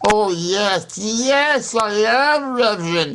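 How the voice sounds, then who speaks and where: A put-on character voice, fairly high in pitch, moves at a very slow pace. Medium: solo performance. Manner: stammering.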